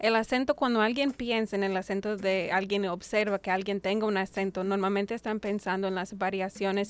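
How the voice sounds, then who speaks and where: A woman's medium-pitched voice, an ordinary speaking voice, at a fairly quick pace with fairly even intonation and hardly any pauses. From United States. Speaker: doctoral researcher. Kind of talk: panel discussion.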